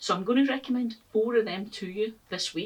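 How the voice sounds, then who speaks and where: A woman talks at a fairly quick pace in a Scottish accent. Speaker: gardening YouTuber. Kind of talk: casual vlog talk to camera.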